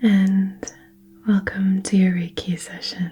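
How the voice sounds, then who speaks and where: Over noticeable background noise, a woman speaks very slowly in a monotone, flat delivery. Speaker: reiki practitioner ASMR creator. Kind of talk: reiki healing session, personal attention roleplay. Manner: soft-spoken, gentle, supportive.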